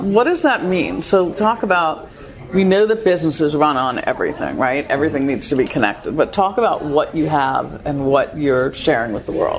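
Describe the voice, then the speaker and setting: A woman with a New York accent speaks in a very deep, low pitch with very wide pitch swings. Noticeable background noise can be heard. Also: fairly quick pace. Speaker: radio show co-host. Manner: lively, laughing, chatty.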